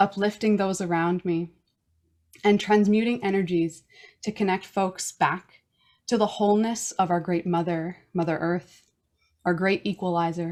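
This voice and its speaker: Fairly even intonation at a moderate pace, with long, frequent pauses, in a very clean recording over a silent background. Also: woman, medium pitch for a woman. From Newfoundland, Canada. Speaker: podcast host. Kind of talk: prepared self-introduction. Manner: formal.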